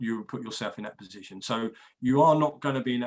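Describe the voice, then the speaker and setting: Speaking at a very fast pace, a man with an English accent keeps to a medium pitch. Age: 60s. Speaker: equity release adviser. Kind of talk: interview. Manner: repetitive stammering starts.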